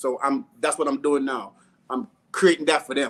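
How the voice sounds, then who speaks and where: With a Jamaican accent, a man speaks at a moderate pace in a fairly high pitch with fairly even intonation. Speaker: food business owner. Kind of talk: casual interview.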